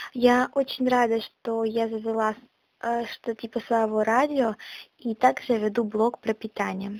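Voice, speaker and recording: At a very slow pace, a woman speaks with fairly high pitch and monotone, flat intonation. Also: dry, close sound with no echo. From Russia, Yaroslavl region. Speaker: podcaster / blogger. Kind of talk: self-introduction monologue. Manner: casual, with hesitations.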